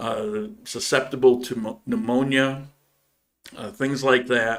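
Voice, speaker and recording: A man speaks with an American accent at a medium pitch. His pace is fairly slow and his intonation fairly even. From upstate New York. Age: 60s. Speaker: YouTube channel host. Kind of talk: live stream Q&A. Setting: live stream. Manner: halting, many fillers.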